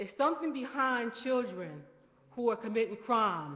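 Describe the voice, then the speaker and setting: This is an ordinary speaking voice, delivered at a moderate pace with ordinary pitch variation. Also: woman. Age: 60s. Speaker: community committee chair. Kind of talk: committee report at community meeting.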